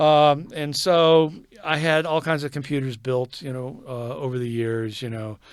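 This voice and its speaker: Man with an American accent, fairly high in pitch, with ordinary pitch variation and a fairly slow pace. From Texas. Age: 60s. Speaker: photographer and digital artist. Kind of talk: casual interview. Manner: halting, many repeats and fillers.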